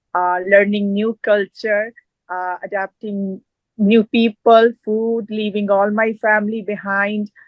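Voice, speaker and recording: Speaking very slowly in a Punjabi accent, a woman holds a medium pitch with monotone, flat intonation. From Punjab, northern India, rural village. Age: 40s. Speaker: fitness expert and community advocate. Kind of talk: interview. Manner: hesitant, many fillers.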